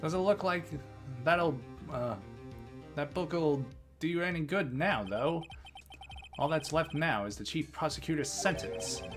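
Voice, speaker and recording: Over clear music in the background, a man uses a gruff, put-on character voice at a fairly high pitch. His intonation is lively, with a moderate pace and long, frequent pauses. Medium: game stream. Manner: gruff, blunt, calls people pal.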